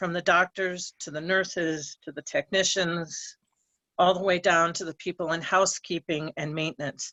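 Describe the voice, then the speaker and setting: It is a plain, everyday voice from a woman. She moves at a moderate pace with fairly even intonation. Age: 60s. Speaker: public commenter. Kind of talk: public comment.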